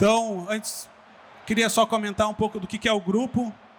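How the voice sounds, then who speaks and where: In a southern Brazilian accent, a man speaks at a moderate pace. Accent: gaúcho. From southern Brazil (Rio Grande do Sul). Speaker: digital business executive. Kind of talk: conference talk. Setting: stage with audience.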